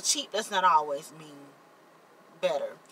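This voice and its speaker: Here a woman speaks with a Mississippi accent. Her pace is moderate. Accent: Southern US (Mississippi). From US South, Jackson, Mississippi. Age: 30s. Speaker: vlogger and party decorator. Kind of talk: casual vlog chat. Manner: halting, repeats words.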